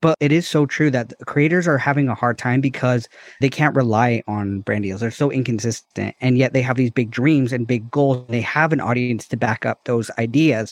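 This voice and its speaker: This is an ordinary speaking voice, a man at medium pitch with ordinary pitch variation. He keeps a moderate pace with hardly any pauses, and the sound is dry and close with no echo. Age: 30s. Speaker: podcast co-host. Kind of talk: casual interview chat.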